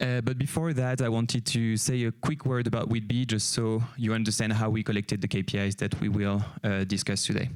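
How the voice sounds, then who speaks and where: A man with a French accent speaks at a fairly quick pace in a medium pitch. His loudness stays very even and his intonation fairly even. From France. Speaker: company CEO, conference speaker. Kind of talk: conference talk. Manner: hesitant, many fillers.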